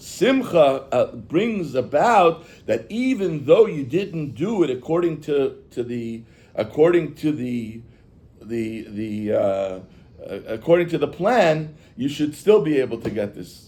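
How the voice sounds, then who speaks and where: In a room with audible echo, a man with a fairly high pitch speaks very slowly, his pitch swinging very widely. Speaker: rabbi teaching Chassidus. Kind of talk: lecture. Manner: halting.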